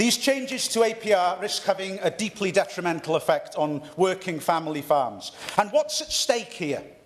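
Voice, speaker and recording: With a North East Welsh accent, a man speaks at a high pitch with very wide pitch swings over noticeable background noise. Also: moderate pace. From North East Wales. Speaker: member of parliament. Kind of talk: parliamentary speech. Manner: formal; occasional stumbles.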